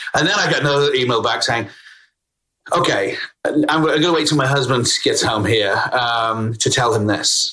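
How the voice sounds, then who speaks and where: A man with a British accent at a moderate pace, his loudness very even. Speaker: CEO and talent consultant. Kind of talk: podcast interview answer.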